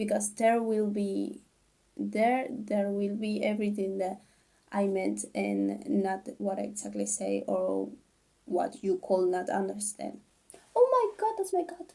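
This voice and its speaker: A non-native accent at a fairly slow pace. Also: woman. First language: not English. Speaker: k-drama reviewer / youtuber. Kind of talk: casual video review. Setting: at home, sister outside the room. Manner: halting, self-correcting.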